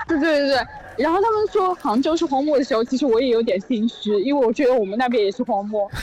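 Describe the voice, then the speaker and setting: A woman speaks very fast in a high voice, her loudness very even and her intonation lively, with noticeable background noise. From Zhejiang, Zhoushan. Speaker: caller. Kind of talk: casual chat.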